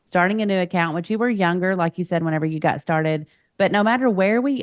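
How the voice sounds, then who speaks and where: A woman's fairly low voice at a very fast pace, in a dry, close sound with no echo. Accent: Southern. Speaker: podcast host and coach. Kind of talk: podcast interview.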